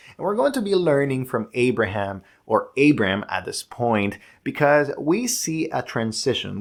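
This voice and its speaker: The pace is fairly slow. The voice is a man's. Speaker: pastor. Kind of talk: sermon. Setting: recorded video for online congregation. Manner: modulated, controlled volume.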